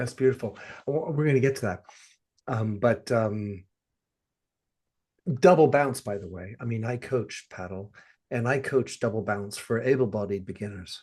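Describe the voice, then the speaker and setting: Somewhat breathy and moving at a moderate pace, a man's voice swings widely in loudness and breaks into long, frequent pauses. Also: medium pitch for a man, ordinary pitch variation. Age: 60s. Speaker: podcast host and padel coach. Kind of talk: interview conversation.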